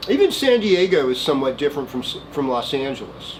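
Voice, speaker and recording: Over noticeable background noise, a man with a Valley accent speaks at a fairly high pitch. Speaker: astrologer. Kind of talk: weekly horoscope monologue. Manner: casual, meandering with many fillers.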